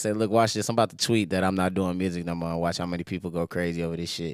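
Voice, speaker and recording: With an American accent, the voice comes through on a very clean recording with a silent background. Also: man. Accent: doesn't sound like a typical Houston speaker. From Houston, Texas. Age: 20s. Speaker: rapper. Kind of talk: casual chat. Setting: live studio podcast with audience.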